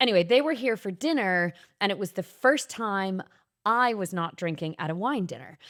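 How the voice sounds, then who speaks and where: On a very clean recording with a silent background, a woman with an Irish accent speaks at a moderate pace and medium pitch, her voice making very wide pitch swings. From Ireland. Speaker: podcast host, singer and actor. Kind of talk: casual chat.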